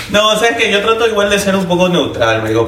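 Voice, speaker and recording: A man at a very fast pace with very wide pitch swings, amid noticeable background noise and audible room echo. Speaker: friend of the hosts. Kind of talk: casual chat.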